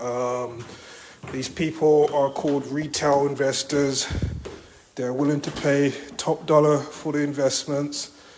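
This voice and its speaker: A man's fairly high voice, monotone and flat, at a fairly slow pace with long, frequent pauses over noticeable background noise. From Britain. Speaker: real estate agent. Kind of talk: on-site property walkthrough talk to clients.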